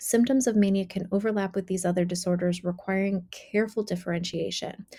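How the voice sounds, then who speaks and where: At a fairly quick pace, a woman speaks in a somewhat breathy voice with a dark, mellow tone, a medium pitch and ordinary pitch variation. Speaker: clinician teaching mental health diagnosis. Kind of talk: lecture. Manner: fast; rapid delivery, faster than usual.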